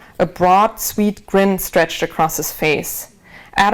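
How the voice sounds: The clip features a natural reading voice. It is read aloud.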